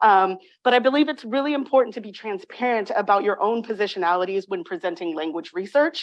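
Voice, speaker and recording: At a very fast pace, a woman with an American accent speaks at a medium pitch with lively intonation. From California, Bay Area. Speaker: linguistics professor. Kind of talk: academic lecture, partly read aloud. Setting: lecture room with audience.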